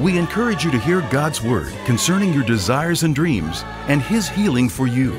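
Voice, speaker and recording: Clear background music under speech at a moderate pace. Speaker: broadcast announcer. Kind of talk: radio program introduction. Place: studio. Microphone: studio mic.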